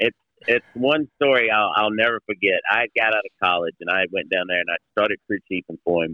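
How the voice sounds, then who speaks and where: A man with an American accent speaks at a fairly quick pace in a fairly low pitch. He has a plain, everyday voice with ordinary pitch variation. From Ohio. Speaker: racing team president. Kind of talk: interview. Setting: phone call.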